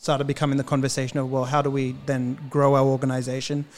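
Over background music, a man talks at a fairly quick pace in a fairly high pitch with monotone, flat intonation. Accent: Australian. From Australia, Queensland (Cairns). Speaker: musician. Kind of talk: casual chat.

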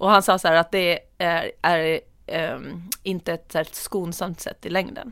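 The very clean recording has a silent background, and a woman with fairly low pitch speaks at a very slow pace. Her intonation is fairly even, but her loudness swings widely. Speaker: podcast co-host. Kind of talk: casual chat.

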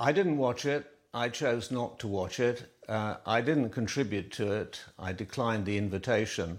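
With hardly any pauses, a man talks in a normal speaking voice in a very clean recording with a silent background. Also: medium pitch for a man, ordinary pitch variation, moderate pace. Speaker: royal journalist. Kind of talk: TV interview.

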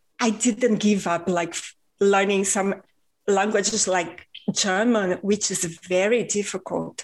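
The speaker has a Portuguese accent. The pace is very slow. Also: woman. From Rio de Janeiro, Brazil. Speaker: podcast host and author. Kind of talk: casual interview.

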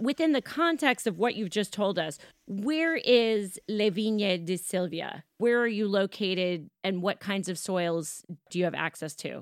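Recorded very cleanly against a silent background, with a dry, close sound and no echo, a woman with an American accent uses a normal speaking voice at medium pitch, fairly slow and lively in intonation. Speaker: wine podcast host. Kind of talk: casual interview.

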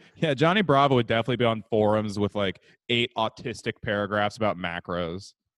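This man has an ordinary speaking voice, fairly low in pitch with ordinary pitch variation, and he talks at a fairly quick pace. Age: 20s. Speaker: podcast co-host. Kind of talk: casual chat.

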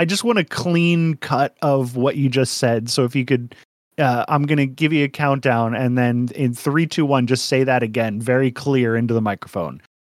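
An unremarkable speaking voice keeps a moderate pace, very even loudness and ordinary pitch variation. The recording is very clean, with a silent background. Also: man. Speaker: podcast host and editor. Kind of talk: casual chat.

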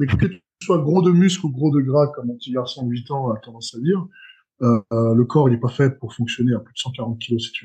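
Somewhat breathy speech from a man, medium in pitch, with ordinary pitch variation, big swings in loudness and a fairly quick pace. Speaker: strongman athlete. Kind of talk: casual chat. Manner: halting.

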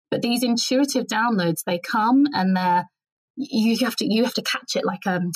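A woman's somewhat breathy voice at a moderate pace, with lively intonation. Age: 40s. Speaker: writer and writing teacher. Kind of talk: interview conversation.

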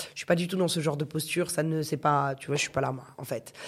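The woman has a very deep, low pitch. Her pace is fairly quick. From northern France. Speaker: radio host and music promoter. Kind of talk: casual chat. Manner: animated.

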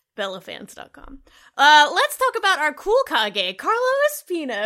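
A woman speaks in a raised, projected voice with a bright, sharp tone and very wide pitch swings. Her pace is fairly slow, and the recording is very clean with a silent background. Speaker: podcast host. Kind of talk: casual chat.

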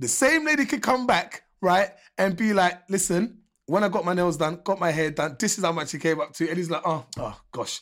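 A moderate pace in a very clean recording with a silent background. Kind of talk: casual chat.

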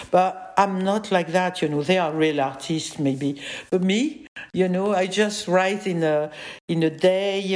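Speaking at a fairly slow pace, a woman with a French accent uses a medium pitch. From France. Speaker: psychoanalyst and filmmaker. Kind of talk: interview conversation. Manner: laughs often, animated.

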